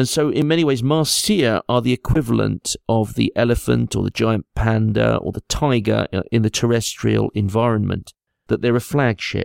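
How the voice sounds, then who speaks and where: On a very clean recording with a silent background, a man talks at a moderate pace with hardly any pauses, the sound dry and close with no echo. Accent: English. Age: 50s. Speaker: angler and fish scientist. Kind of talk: interview.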